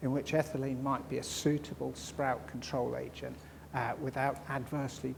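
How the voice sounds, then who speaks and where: A man's fairly high, somewhat breathy voice at a moderate pace, with audible room echo. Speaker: crop storage scientist. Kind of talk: conference talk. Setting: conference hall with audience. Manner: mumbling; halting.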